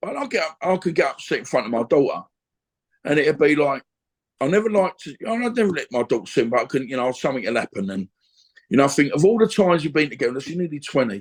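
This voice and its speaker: Talking at a very fast pace, a man uses a fairly high pitch with very wide pitch swings. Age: 50s. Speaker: former boxer and gym owner. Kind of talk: casual interview chat. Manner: halting.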